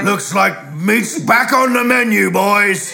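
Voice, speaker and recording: A man puts on a character voice, pitched high, speaking at a fairly slow pace over clear background noise. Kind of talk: comic overacting. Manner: growling, menacing, gleeful.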